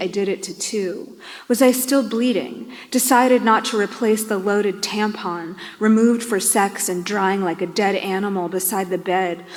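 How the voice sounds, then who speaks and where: Here is a woman with an ordinary speaking voice. Her pitch is medium, her pace moderate, and her pitch variation ordinary. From New York. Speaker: poet. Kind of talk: poetry reading.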